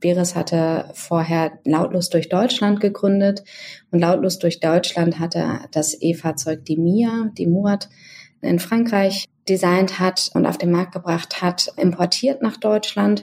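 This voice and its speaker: A woman's fairly low voice at a very slow pace, with very even loudness and ordinary pitch variation. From northern Germany. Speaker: marketing executive. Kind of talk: interview.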